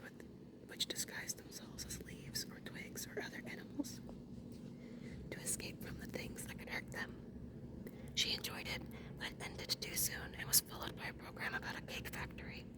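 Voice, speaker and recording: Noticeable background noise sits under a whisper that moves at a moderate pace. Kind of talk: whispered audiobook reading, ASMR. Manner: whispered, soft-spoken.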